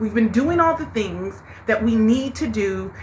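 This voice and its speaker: Animated in tone, a woman speaks at a fairly slow pace with a fairly high pitch. Audible room echo and noticeable background noise surround her. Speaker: spiritual live-stream host, tarot reader. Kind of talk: live-stream motivational talk. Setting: TikTok live stream. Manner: loud, animated.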